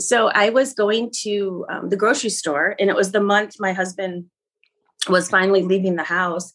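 A woman speaks with an American accent at a moderate pace. Her pitch is medium, with ordinary pitch variation. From Michigan, US Midwest. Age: 50s. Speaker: painter and art teacher. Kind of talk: casual interview.

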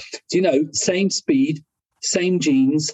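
Speaking with an English accent, a man uses a fairly high, somewhat breathy voice, lively intonation and a fairly slow pace. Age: 60s. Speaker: motorcycle clothing company owner. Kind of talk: casual chat.

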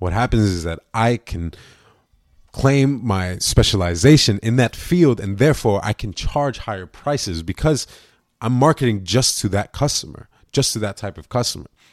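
An unremarkable speaking voice from a man, medium in pitch, with lively intonation at a moderate pace and a dry, close sound with no echo. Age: young. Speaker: podcast host. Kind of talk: solo podcast monologue.

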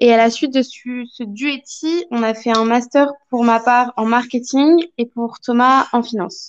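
Her high-pitched voice moves at a fairly slow pace with fairly even intonation. The woman is heard over a quiet background. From France. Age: 20s. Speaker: young expatriate. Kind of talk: interview testimony.

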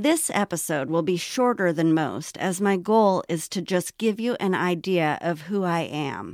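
On a very clean recording with a silent background and a dry, close sound with no echo, a woman with an American accent talks fairly slowly at a medium pitch with ordinary pitch variation. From Los Angeles, US. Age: 40s. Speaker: podcast host. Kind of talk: scripted monologue.

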